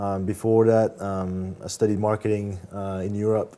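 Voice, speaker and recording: A man speaks in a French accent at a fairly low pitch. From France. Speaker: marketing manager. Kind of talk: interview. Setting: studio. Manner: hesitant, many fillers.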